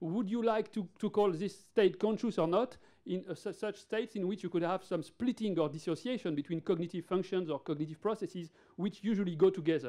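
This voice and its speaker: This man has a French accent, a high pitch, a dark, mellow tone, ordinary pitch variation and a moderate pace. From France. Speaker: neurologist. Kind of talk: conference lecture. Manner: halting, with many fillers and repeated words.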